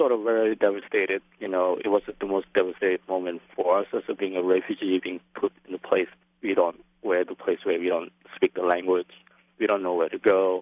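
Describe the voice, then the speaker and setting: He speaks with a Lao accent. This man's pitch is fairly low. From Laos. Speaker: filmmaker and activist. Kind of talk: interview. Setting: phone call. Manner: hesitant, many fillers.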